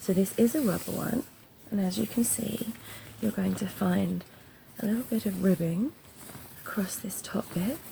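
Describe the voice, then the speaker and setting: In an English accent, a soft-spoken voice with a soothing, gentle tone moves at a fairly slow pace over noticeable background noise. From England. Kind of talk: ASMR glove sounds talk to camera. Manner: soft, soothing, gentle.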